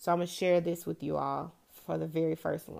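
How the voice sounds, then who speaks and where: A woman with a Memphis accent at a moderate pace, on a very clean recording with a silent background. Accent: Southern US (Memphis). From US South, Memphis, Tennessee. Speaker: podcast host. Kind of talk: solo casual monologue. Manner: chatty, laughing.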